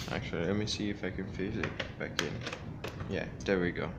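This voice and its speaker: The man's voice sits at a fairly low pitch. Audible room echo and noticeable background noise surround him. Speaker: gaming hardware reviewer. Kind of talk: unboxing tutorial. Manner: halting, many fillers.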